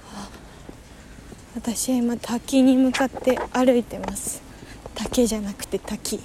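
A woman speaks at a high pitch with monotone, flat intonation and long, frequent pauses. Noticeable background noise is present. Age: 20s. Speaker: podcaster. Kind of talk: casual solo monologue while walking. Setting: outdoors, walking to a waterfall. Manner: halting, thinking aloud.

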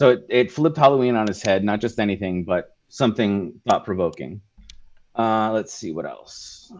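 A man with an American accent, an unremarkable speaking voice, fairly low pitch, lively intonation and a moderate pace. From Southern California. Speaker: school technology specialist. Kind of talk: casual chat.

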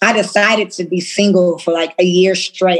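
A woman's medium-pitched voice carries fairly even intonation through noticeable background noise. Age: 30s. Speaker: fashion entrepreneur. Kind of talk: casual interview.

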